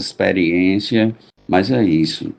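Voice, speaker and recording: This man has a dark, mellow tone. He speaks at a very slow pace. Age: 60s. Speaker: drummer. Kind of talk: storytelling.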